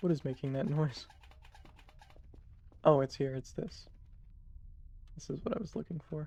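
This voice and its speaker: A man speaks at a moderate pace with long, frequent pauses. His voice is fairly high in pitch and somewhat breathy. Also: ordinary pitch variation. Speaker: gaming streamer. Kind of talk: gameplay commentary. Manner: hesitant, many fillers.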